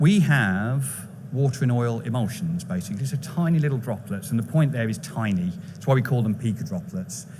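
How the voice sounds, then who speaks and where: A man's fairly quick, somewhat breathy delivery with lively intonation and audible room echo. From England. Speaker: chief technical officer of a biotech company. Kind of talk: conference presentation. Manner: brisk.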